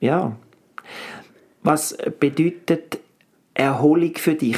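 The speaker talks at a very slow pace. The intonation stays fairly even. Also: man. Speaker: actor and coach, podcast co-host. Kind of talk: casual chat.

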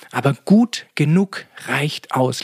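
A man with an unremarkable speaking voice, fairly high pitch and ordinary pitch variation, in a dry, close sound with no echo. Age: 40s. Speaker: podcast host, energy and sleep coach. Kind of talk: solo podcast talk. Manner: frequent filler sounds (äh).

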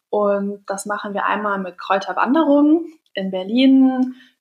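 Speaking at a moderate pace, a woman uses lively intonation in a fairly high, somewhat breathy voice. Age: 20s. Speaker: entrepreneur. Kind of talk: interview.

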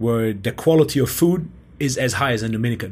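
A man's medium-pitched voice with a German accent. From Germany. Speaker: podcast host and strength coach. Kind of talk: interview conversation.

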